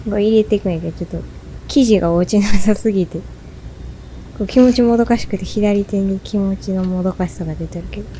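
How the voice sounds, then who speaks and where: A woman with a Kansai accent at a medium pitch, fairly quick and fairly even in intonation, over noticeable background noise. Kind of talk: casual baking tutorial narration. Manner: casual, chatty.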